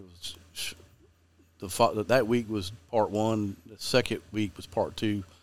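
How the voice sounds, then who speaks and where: In a Southern US accent, a man speaks at a moderate pace in a fairly low, monotone, flat voice on a very clean recording with a silent background. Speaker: fishing guide and TV host. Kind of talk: casual interview chat.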